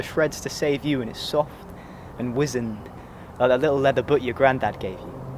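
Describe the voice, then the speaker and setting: A man with a fairly high pitch speaks at a moderate pace while noticeable background noise carries on. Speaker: spoken word poet. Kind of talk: spoken word poetry performance.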